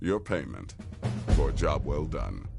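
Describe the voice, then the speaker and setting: Clear background noise accompanies a man who puts on a character voice at a moderate pace. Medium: video game. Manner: brisk, dry.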